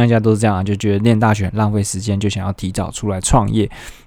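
A fairly low-pitched male voice on a very clean recording with a silent background. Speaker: solo podcast host. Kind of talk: casual solo monologue. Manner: many filler sounds, hesitant.

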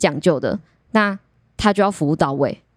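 A woman speaks in a normal speaking voice with lively intonation at a moderate pace, recorded very cleanly against a silent background. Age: 20s. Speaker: aquarium service department supervisor. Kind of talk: casual chat.

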